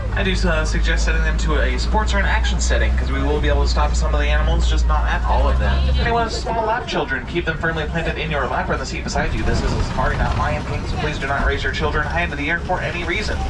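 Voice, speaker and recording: Over loud background noise, a man talks at a very fast pace with hardly any pauses. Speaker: safari tour guide. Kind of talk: tour guide commentary. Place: car.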